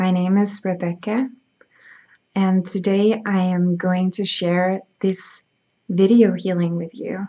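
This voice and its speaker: A woman with a Danish accent, medium pitch, a very slow pace and a monotone, flat intonation. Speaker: spiritual healer. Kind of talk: reading aloud; guided meditation.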